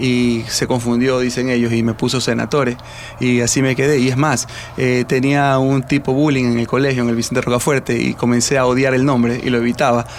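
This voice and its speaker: Noticeable background noise sits behind a man of medium pitch. He talks at a fairly quick pace in a flat monotone. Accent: coastal Ecuadorian. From Guayaquil, Ecuador. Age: 50s. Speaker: retired football referee. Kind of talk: radio interview.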